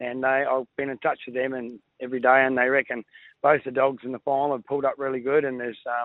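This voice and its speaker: With an Australian accent, a man talks at a very fast pace in a medium pitch with monotone, flat intonation. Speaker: greyhound trainer. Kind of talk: casual chat.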